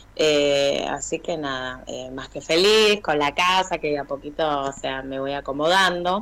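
Against noticeable background noise, a woman speaks with a very deep, low pitch at a fairly slow pace, with ordinary pitch variation and hardly any pauses. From Argentina, Buenos Aires south zone. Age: 30s. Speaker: teacher of deaf students. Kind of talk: testimony.

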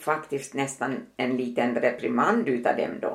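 A woman is speaking. She has an Ostrobothnian accent. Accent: Finland-Swedish, Ostrobothnian. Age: 80s+. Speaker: mother and grandmother. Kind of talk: casual interview, personal testimony.

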